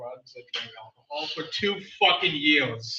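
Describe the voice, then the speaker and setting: Ordinary pitch variation and a moderate pace come through with audible room echo. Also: man. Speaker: open mic poet. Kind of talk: poetry reading. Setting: stage with audience.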